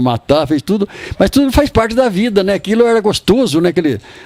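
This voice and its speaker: A man speaks over noticeable background noise. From interior of São Paulo state (Bofete area). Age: 80s+. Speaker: retired cattle trader. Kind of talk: interview, personal reminiscence. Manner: halting, repeats words.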